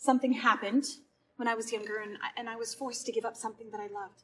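Over light background noise, a woman talks at a very fast pace. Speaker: stage actor. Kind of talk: scripted dialogue in a play scene. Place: stage. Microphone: camera far.

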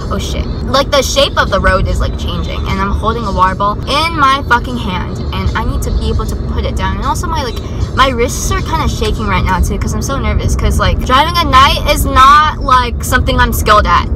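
A woman talks at a fairly quick pace with hardly any pauses, music playing behind her. The sound is dry, with no echo. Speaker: vlogger driving. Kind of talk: casual vlog chat. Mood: nervous, joking. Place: car. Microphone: phone near.

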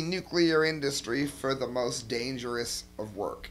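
Music plays in the background as a man speaks with an American accent. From US Midwest, Cleveland area. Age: 40s. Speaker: political commentator. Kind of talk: video commentary. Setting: home studio with camera. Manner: animated. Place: home room. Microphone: headset.

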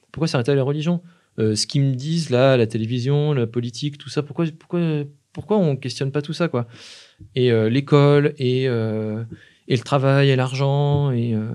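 Against a quiet background, a man talks at a moderate pace. His voice is fairly high-pitched, with a dark, mellow tone. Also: ordinary pitch variation. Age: 30s. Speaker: filmmaker, musician and anarchist activist; podcast guest. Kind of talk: casual interview. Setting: live stream with chat. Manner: halting, many hesitations. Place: studio. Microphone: studio mic.

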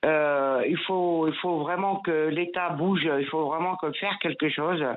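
A woman talks at a very slow pace. Her fairly low voice keeps a fairly even intonation. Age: 60s. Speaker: radio caller, retiree. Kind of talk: testimony. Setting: phone call. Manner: emotional, repetitive.

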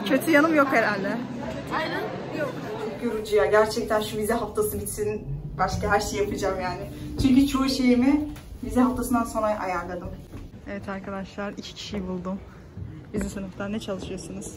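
Fairly quick pace with long, frequent pauses, ordinary pitch variation, and loud background noise. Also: woman, fairly high pitch for a woman. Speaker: university student vlogger. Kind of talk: casual vlog.

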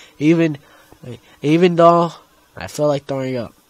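Shouting at a moderate pace with lively intonation, a man comes through dry and close with no echo. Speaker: gamer. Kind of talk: gameplay commentary. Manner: loud, screaming; animated.

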